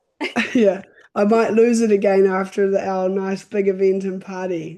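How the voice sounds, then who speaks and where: A woman in a New Zealand accent speaks at a moderate pace and medium pitch, her dark, mellow tone held in monotone, flat intonation. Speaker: wedding photographer. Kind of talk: video interview.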